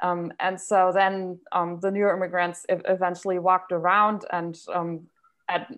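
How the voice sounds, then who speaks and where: A woman speaks with a German accent at a medium pitch. The background is quiet. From Germany. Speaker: university German lecturer. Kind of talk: casual chat.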